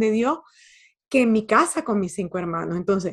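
In a very clean recording with a silent background, a woman uses a plain, everyday voice, fairly high in pitch with ordinary pitch variation. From Venezuela. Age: 50s. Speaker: life coach and author. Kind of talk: interview conversation.

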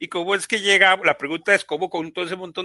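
In a Costa Rican accent, a man talks with an animated tone that is bright and sharp, pitched high. The sound is dry and close with no echo, and the background is quiet. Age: 50s. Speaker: software engineer and business owner. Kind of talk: panel discussion. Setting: live online broadcast.

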